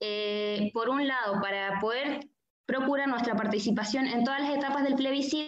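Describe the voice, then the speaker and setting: With ordinary pitch variation, a woman speaks at a moderate pace in a high pitch. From southern Chile, Puerto Montt. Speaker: migrant activist. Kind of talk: panel discussion. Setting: video call.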